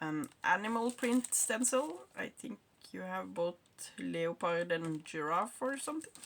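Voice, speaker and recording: A woman with a Norwegian accent speaks at a fairly slow pace in a fairly low voice, her pitch swinging very widely. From Norway. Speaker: craft hobbyist. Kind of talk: unboxing video. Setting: home craft room.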